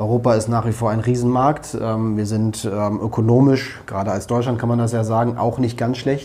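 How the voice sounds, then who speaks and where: Through noticeable background noise, a man speaks at medium pitch and a moderate pace in a monotone, flat way. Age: 40s. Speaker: politician. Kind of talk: interview.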